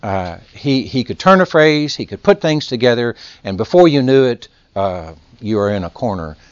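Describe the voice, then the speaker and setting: A man with a Texas accent and very wide pitch swings. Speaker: lecturer or adult class teacher. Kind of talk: lecture.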